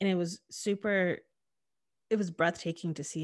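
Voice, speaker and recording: In a very clean recording with a silent background, a woman speaks with fairly even intonation in an American accent. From Connecticut, New Haven County. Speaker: diversity consultant and public speaker. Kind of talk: casual chat.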